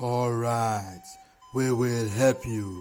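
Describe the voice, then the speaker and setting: In a put-on character voice, a man speaks at a medium pitch with a booming sound. Faint music plays in the background. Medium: read story.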